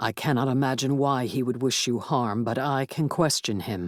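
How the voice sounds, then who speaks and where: A growling, put-on character voice with a low-to-middle pitch. It moves along at a moderate pace. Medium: read story. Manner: formal, stiff, no contractions.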